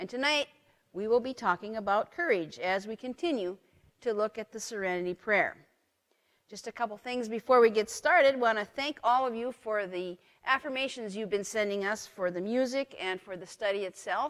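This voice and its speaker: Heard dry and close with no echo, a woman with an unremarkable speaking voice and fairly high pitch talks at a moderate pace, with ordinary pitch variation and big swings in loudness. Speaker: pastor. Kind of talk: lecture. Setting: church live stream.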